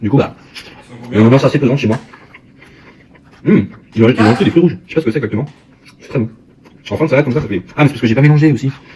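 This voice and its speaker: Words come very fast from a man. His pitch shows ordinary variation. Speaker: YouTuber. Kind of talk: food tasting vlog. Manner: fast, sometimes stammering; eating while talking.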